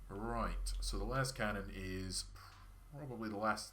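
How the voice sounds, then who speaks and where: His words come at a fairly slow pace. The man's voice carries audible room echo. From Scotland, Perthshire. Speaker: video game streamer. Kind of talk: casual gameplay livestream chat.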